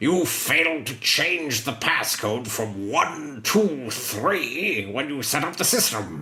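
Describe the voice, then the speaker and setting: A man puts on a character voice at a medium pitch. He speaks at a fairly slow pace. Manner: villainous.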